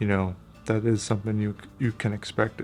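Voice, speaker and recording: A man's quiet, monotone voice with flat intonation, fairly low in pitch, at a very fast pace. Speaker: camera gear youtuber. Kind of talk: casual vlog review. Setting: at home, kids sleeping nearby. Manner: quiet, hushed.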